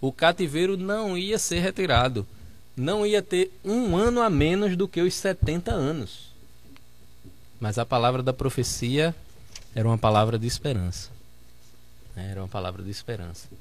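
With long, frequent pauses, a man speaks fairly slowly in a fairly high voice that swings very widely in pitch. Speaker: pastor, debate panelist. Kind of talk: religious debate.

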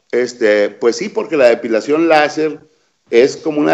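Fairly high for a man, this plain, everyday voice has lively intonation. He keeps to a moderate pace. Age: 50s. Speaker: urologist. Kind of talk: interview.

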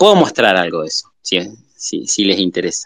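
The sound is dry and close, with no echo. A man speaks with an Argentine accent. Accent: Rioplatense Argentine Spanish. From Argentina, southern Buenos Aires. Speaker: illustrator and art teacher. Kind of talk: casual interview chat. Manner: halting, frequent fillers.

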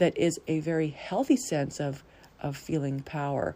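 In a dark, mellow tone, a woman speaks at a fairly slow pace with a very deep, low pitch. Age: 50s. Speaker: podcast host and life coach, retired nurse practitioner. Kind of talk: solo monologue. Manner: casual, with frequent fillers.

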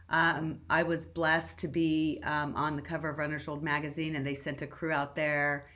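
A bright, sharp voice in a Californian accent, at a moderate pace with monotone, flat intonation. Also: woman, very deep, low pitch for a woman. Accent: Californian American English. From Southern California. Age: 50s. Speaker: marathon runner. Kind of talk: interview.

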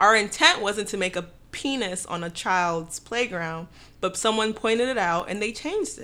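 A woman with an American accent and a plain, everyday voice talks at a moderate pace and medium pitch, her intonation lively, on a very clean recording with a silent background. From Dallas, Texas. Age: 20s. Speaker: guest co-host. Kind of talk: casual chat.

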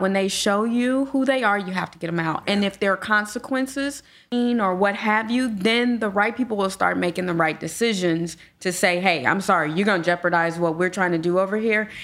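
With an American accent, a woman talks at a moderate pace in a plain, everyday voice, medium in pitch with ordinary pitch variation. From Gary, Indiana. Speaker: property management business owner. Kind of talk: casual chat.

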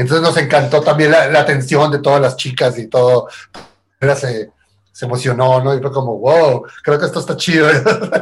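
A man speaks at a moderate pace with a fairly high pitch. His voice is somewhat breathy, with ordinary pitch variation. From Tijuana, Mexico. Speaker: musician. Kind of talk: casual chat.

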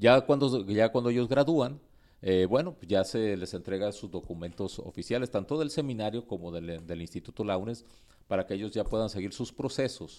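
On a very clean recording with a silent background, a man speaks with a fairly low pitch, a dark, mellow tone and lively intonation. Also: moderate pace. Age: 50s. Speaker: pastor and seminary dean. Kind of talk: interview. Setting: seminary.

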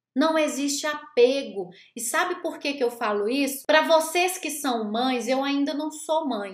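A woman's high-pitched, animated voice at a fairly slow pace, hardly any pauses, and audible room echo. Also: ordinary pitch variation. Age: 40s. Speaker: life coach and therapist. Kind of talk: motivational talk from a recorded live stream.

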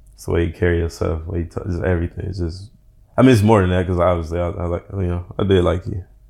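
Speaking at a very fast pace, a man with a very deep, low pitch sounds somewhat breathy and dark and mellow in tone, his intonation monotone and flat while his loudness swings widely. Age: 30s. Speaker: podcast guest, host's former date. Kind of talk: casual chat.

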